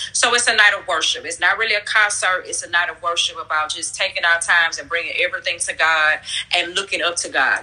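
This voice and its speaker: Against noticeable background noise, a woman talks at a fairly quick pace with ordinary pitch variation. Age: 30s. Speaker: pastor. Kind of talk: casual chat. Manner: upbeat.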